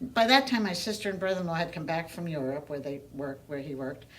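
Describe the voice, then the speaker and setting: A woman's fairly low-pitched voice amid audible room echo. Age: 70s. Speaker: domestic violence survivor. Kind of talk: testimony. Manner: halting.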